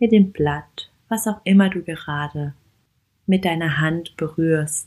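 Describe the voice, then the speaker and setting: Very slow and fairly even in intonation, the voice has a gentle, soothing tone. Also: woman. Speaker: podcast host and meditation guide. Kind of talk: guided walking meditation. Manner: slow, soft-spoken, calm; gentle, soothing, with long pauses.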